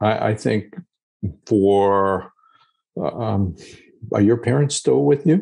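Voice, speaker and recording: Over a quiet background, a man with an American accent speaks at a very slow pace, using long, frequent pauses, lively intonation, very even loudness, and a dark, mellow tone at a fairly low pitch. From US, Long Island, New York. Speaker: geriatrician and author. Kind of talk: casual interview. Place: office. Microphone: video call.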